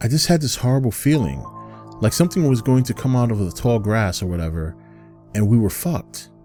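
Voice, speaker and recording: A man at medium pitch, with very wide pitch swings, a fairly quick pace and music in the background. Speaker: storyteller narrator. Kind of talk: horror story narration.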